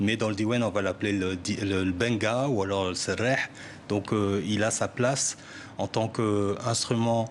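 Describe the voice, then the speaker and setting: A man speaks fairly slowly in a fairly low pitch with a strong Parisian accent. His intonation is fairly even. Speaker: musician. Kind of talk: TV interview. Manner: hesitant, many fillers and repetitions.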